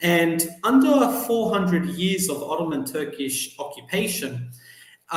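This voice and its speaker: A man with an Australian accent speaks at a fairly slow pace in a fairly high pitch, with noticeable background noise and audible room echo. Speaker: journalist and PhD student. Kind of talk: podcast interview.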